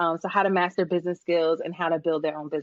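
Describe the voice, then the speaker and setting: A woman with a Brooklyn accent speaks at a very fast pace. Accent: New York (Brooklyn). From Brooklyn, New York. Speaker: business coach and psychology professor. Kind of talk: casual interview.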